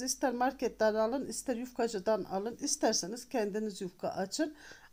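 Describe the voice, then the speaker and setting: At a moderate pace, a woman speaks in a dark, mellow tone with ordinary pitch variation, on a very clean recording with a silent background. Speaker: cooking channel host. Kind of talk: cooking tutorial.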